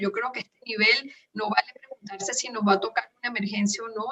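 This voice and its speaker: A woman's fairly high-pitched voice in a Venezuelan accent, with ordinary pitch variation. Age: 50s. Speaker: nutritionist and humanitarian worker. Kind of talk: interview. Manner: halting, frequent repetitions.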